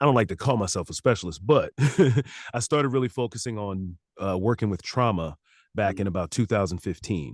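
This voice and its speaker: A man with an unremarkable speaking voice talks at a fairly low pitch and a fairly quick pace, in a dry, close sound with no echo. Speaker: licensed therapist and audiobook narrator. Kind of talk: casual interview answer.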